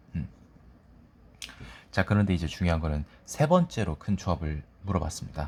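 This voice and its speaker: A somewhat breathy man at a fairly quick pace with lively intonation. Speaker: exam prep tutor. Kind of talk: lecture. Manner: sleepy, dull.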